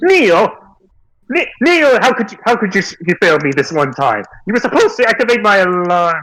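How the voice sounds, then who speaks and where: Shouting in a put-on character voice, a man sounds shrill and high-pitched, with very wide pitch swings, very even loudness and a moderate pace. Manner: screaming, demanding.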